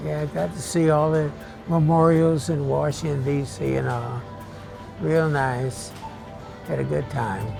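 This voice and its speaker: A man at a fairly slow pace with long, frequent pauses, music in the background. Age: 80s+. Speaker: World War II veteran; grocery store bagger. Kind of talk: interview answer.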